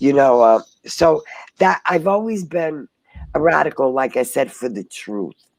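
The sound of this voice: At a fairly slow pace, a woman with an extremely low pitch and a slightly mellow tone speaks with lively intonation.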